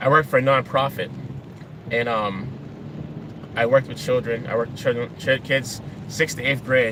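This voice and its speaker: With an American accent, a man speaks at a medium pitch with fairly even intonation and long, frequent pauses over noticeable background noise. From Boston, Massachusetts (Dorchester, Roxbury). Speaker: vlogger. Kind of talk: casual vlog monologue. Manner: fast.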